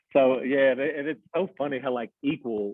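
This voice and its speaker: This man has a Mid-South accent. His pitch sits in the medium range. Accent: US Southern (Mid-South). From Arkansas, West Memphis area. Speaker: electrician. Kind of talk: casual chat.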